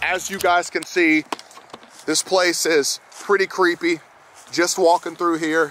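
Clear music plays behind a man speaking at a moderate pace. The sound is dry, with no echo. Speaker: paranormal vlogger. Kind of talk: casual vlog chat. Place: open country. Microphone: phone near.

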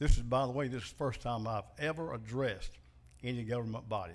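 A man with a Southern US accent talks at a fairly quick pace on a very clean recording with a silent background. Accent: Southern US (Georgia). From US South, Macon, Georgia. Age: 60s. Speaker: citizen giving public comment. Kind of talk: public comment at a government meeting. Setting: county commission meeting room with audience.

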